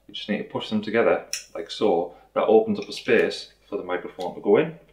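A man is speaking. The background is quiet. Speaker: product reviewer. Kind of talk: unboxing tutorial. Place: home room.

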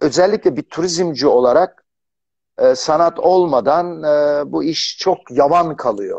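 A man speaks very slowly at a high pitch with lively intonation. The background is quiet. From Turkey. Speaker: tourism executive; guest. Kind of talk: casual interview. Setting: video call. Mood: relaxed, friendly storytelling. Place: office. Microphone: unstable internet connection, audio cutting out; video call.

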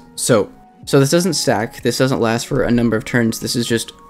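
Accompanied by background music, the speaker keeps a moderate tempo. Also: man. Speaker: game guide youtuber. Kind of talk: game guide commentary. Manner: casual.

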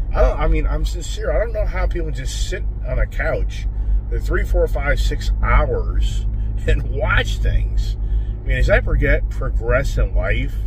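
Noticeable noise fills the background as a man talks at a fairly unhurried pace. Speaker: vlogger. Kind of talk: casual vlog chat. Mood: relaxed, joking. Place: car. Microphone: phone near.

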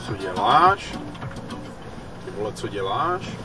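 The voice sounds dry with no echo, while clear music plays in the background. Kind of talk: annoyed commentary while driving. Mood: irritated, swearing at drivers. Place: car. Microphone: camera far.

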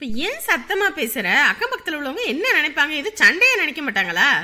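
Using a put-on character voice, a woman talks at a fast pace in a high pitch, her tone bright and sharp and her pitch swinging very widely.

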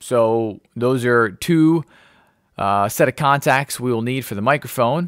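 Against a quiet background, a man talks at a fairly slow pace with ordinary pitch variation and a dry sound with no echo. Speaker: ham radio hobbyist. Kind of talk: tutorial. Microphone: studio mic.

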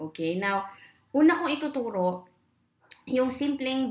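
A woman talks with lively intonation. Audible echo from the room surrounds her voice. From Philippines. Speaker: corporate trainer and online English teacher; voice trainer. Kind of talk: tutorial. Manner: exaggerated vocal exercises. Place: home room. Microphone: webcam.

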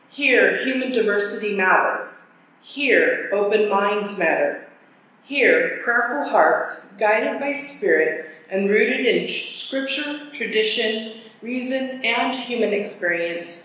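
Strong room echo surrounds a woman speaking at a very slow pace. Her pitch varies in an ordinary way. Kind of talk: formal worship welcome. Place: church. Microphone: camera far.

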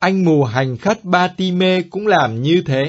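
A man's high voice with lively intonation, delivered at a very slow pace. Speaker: liturgy segment presenter. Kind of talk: scripted talk.

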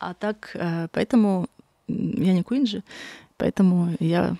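A woman speaks in a dark, mellow tone with vocal fry and fairly even intonation, recorded dry with no echo against a quiet background. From Magadan region, Russian Far East. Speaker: artist; guest. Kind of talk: interview conversation. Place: studio. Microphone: studio mic.

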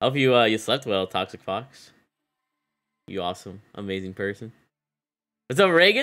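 Animated and bright-toned, a man speaks with a sharp edge, lively intonation and a moderate pace broken by long, frequent pauses. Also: fairly low pitch for a man. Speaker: gaming streamer. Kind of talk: live gameplay commentary. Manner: casual, animated. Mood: upbeat, friendly. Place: home room.

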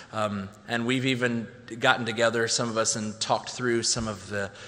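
At a moderate pace, a man speaks in a monotone with flat intonation. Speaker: event host. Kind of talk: introduction and prayer. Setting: church event with audience. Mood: warm, appreciative. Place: church. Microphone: podium.

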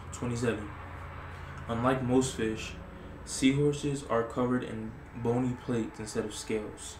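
Soft-spoken and monotone, a man talks at a moderate pace in flat intonation against noticeable background noise. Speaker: ASMR creator. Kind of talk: ASMR reading of random facts. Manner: casual, hesitant. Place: home room.

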